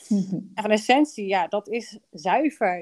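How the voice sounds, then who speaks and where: At a very slow pace, a woman talks at medium pitch with ordinary pitch variation, in a dry, close sound with no echo. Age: 30s. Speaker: business coach and podcast host. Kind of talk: casual chat.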